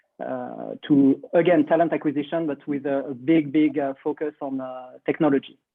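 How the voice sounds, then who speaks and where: With a French accent, someone talks at a moderate pace in a flat monotone with hardly any pauses. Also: man, fairly high pitch for a man. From France. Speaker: recruitment tech CEO. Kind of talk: panel introduction. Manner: halting.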